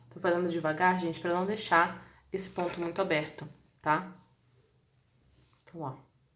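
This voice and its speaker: A woman speaks at a moderate pace and fairly low pitch in a flat monotone, with long, frequent pauses and audible room echo. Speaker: crochet instructor. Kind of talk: live-stream tutorial. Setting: live stream.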